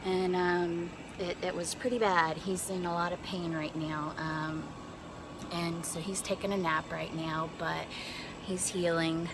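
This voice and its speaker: With an American accent, a woman speaks at a fairly slow pace in a fairly low, monotone voice with flat intonation, amid audible room echo and noticeable background noise. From North Carolina. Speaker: family vlogger. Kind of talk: casual vlog talk to camera. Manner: hesitant, many fillers.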